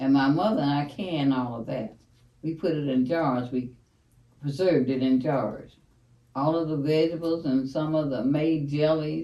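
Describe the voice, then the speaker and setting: A woman's very deep, low voice with a dark, mellow tone and ordinary pitch variation. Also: moderate pace. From US South, plantation area. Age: 80s+. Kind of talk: interview answer, life story.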